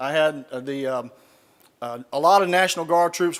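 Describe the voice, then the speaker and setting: A man talks in a Southern US accent at a fairly high pitch. His pitch varies in an ordinary way. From US South. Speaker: retired army general, speaker. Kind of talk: keynote speech. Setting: stage with audience. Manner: folksy, humorous storytelling.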